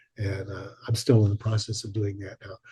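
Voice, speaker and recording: A man's somewhat breathy voice with a dark, mellow tone, over a quiet background. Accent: American. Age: 70s. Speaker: widower of an abduction researcher. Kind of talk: interview. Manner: halting.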